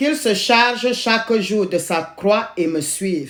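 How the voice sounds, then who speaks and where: A woman at a very slow pace, fairly high pitch and lively intonation. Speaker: lay preacher. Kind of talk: sermon. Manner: halting, with repetitions.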